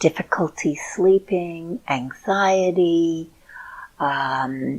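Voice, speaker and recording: This woman has a fairly low-pitched voice. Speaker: show host and clinical hypnotherapist. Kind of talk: casual talk to camera.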